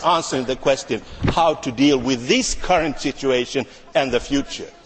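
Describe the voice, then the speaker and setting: Amid noticeable background noise, a man with a non-native accent talks at a moderate pace with very wide pitch swings. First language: not English. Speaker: politician. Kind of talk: parliamentary debate reply. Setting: parliament chamber. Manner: halting.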